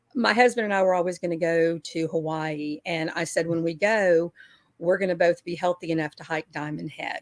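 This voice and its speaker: In an American accent, a woman with an ordinary speaking voice talks at a moderate pace and fairly low pitch, with ordinary pitch variation, big swings in loudness, and a dry, close sound with no echo. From Texas, Houston. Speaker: weight-loss community member. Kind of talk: casual group chat.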